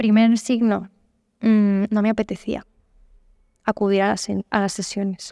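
On a very clean recording with a silent background, a woman with a dark, mellow tone speaks at a fairly slow pace in monotone, flat intonation, taking long, frequent pauses, the sound dry and close with no echo. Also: medium pitch for a woman. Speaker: psychologist. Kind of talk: interview. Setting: hostel hall in Barcelona.

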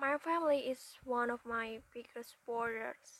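A woman with a high pitch speaks at a fairly slow pace. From Indonesia, West Java. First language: Indonesian. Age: young. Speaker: university student. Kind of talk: prepared self-introduction. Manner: halting.

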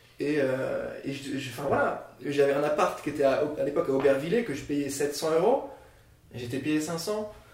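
A man talks at a fairly slow pace with a fairly high pitch. Noticeable background noise and audible room echo are present. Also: ordinary pitch variation. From France, Nancy (Lorraine). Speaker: editor-in-chief of a marketing media outlet. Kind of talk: podcast interview. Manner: halting, many repetitions and fillers.

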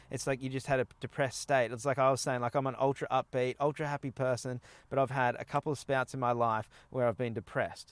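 Very fast and in an Australian accent, a man at medium pitch speaks on a very clean recording with a silent background, the sound dry and close with no echo. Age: 30s. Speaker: podcast host. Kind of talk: casual interview chat. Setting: outdoors at a campsite. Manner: animated.

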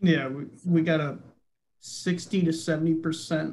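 A man with an American accent and a fairly high pitch speaks in a monotone, flat intonation, with audible room echo. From upstate New York. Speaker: podcast co-host. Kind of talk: casual chat.

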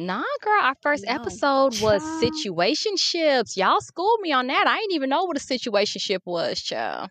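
Hardly pausing, a woman talks at a moderate pace and a high pitch with very wide pitch swings. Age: 30s. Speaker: podcast co-host. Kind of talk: casual chat. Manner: animated.

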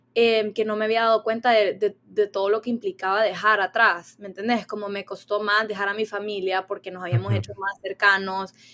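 A woman's medium-pitched voice, fairly quick and monotone with flat intonation. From Honduras. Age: 20s. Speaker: university student. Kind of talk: casual chat.

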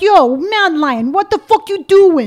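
In a put-on character voice with a New York accent, the speaker talks at a fairly slow pace with an extremely high pitch. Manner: tough, confrontational.

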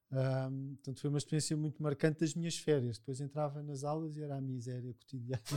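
Speaking at a very fast pace with hardly any pauses, a man has a fairly high pitch, a dark, mellow tone and monotone, flat intonation. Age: 50s. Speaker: psychologist. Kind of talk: casual chat.

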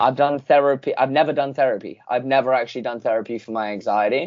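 A plain, everyday voice, at a fairly quick pace, with fairly even intonation. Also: man. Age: 20s. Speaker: podcast host. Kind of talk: casual interview chat.

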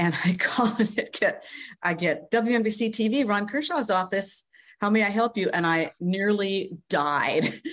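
A woman with an American accent talks at a fairly slow pace in a plain, everyday voice of medium pitch, with ordinary pitch variation and very even loudness, on a very clean recording with a silent background. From rural Minnesota, US Midwest. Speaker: former TV news anchor and communications coach. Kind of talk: interview, personal storytelling.

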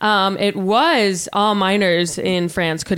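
A woman talks at a medium pitch with ordinary pitch variation. It is an ordinary speaking voice. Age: 30s. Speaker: podcast host. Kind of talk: casual chat. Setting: living room.

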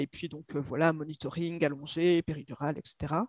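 The speaker is a woman talking at a moderate pace. The sound is dry and close, without echo. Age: 30s. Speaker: mother sharing birth story. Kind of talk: testimony. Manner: halting.

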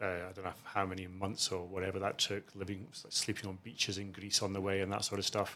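In a Scottish accent, the speaker talks fairly quickly with a bright, sharp tone and monotone, flat intonation, captured in a very clean recording with a silent background. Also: man. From Scotland, outside Edinburgh. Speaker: asset management chief executive. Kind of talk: interview.

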